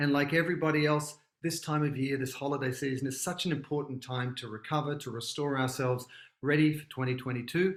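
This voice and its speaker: A man with a strong Australian accent, fairly high in pitch, with fairly even intonation at a very fast pace. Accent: Australian, thick now. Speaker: podcast host. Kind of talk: podcast intro. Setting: mother's kitchen at home.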